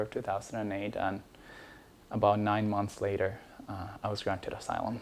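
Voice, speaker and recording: A man talks at a fairly quick pace in a fairly low, monotone voice with flat intonation. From Ecuador. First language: Spanish. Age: 30s. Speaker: immigration lawyer telling personal story. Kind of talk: personal testimony. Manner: halting, many fillers.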